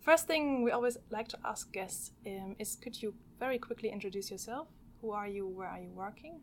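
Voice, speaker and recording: A woman has a plain, everyday voice, pitched fairly high. She talks at a fairly quick pace with lively intonation. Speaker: podcast host. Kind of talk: podcast intro and interview. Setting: podcast recording room.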